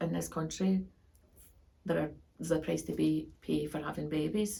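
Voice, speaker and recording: Somewhat breathy female speech with a dark, mellow tone. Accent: Glasgow. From Scotland, Glasgow. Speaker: professor. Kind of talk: interview. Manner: halting, with frequent fillers.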